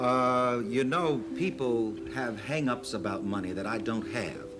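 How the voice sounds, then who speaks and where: Over noticeable background noise, a man speaks at a fairly slow pace. His tone is confident and his intonation lively. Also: medium pitch for a man. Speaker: preacher. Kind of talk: television interview answer. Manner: confident, conversational.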